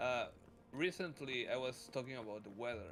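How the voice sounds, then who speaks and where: A man of medium pitch talks at a moderate speed while music runs in the background. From Mexico. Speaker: streamer. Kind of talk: casual chat.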